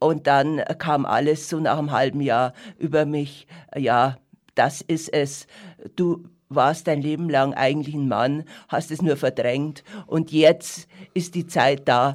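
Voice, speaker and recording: On a very clean recording with a silent background, a man speaks at a very slow pace. His fairly high voice keeps a fairly even intonation. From Lower Bavaria, rural. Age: 70s. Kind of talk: interview, life story.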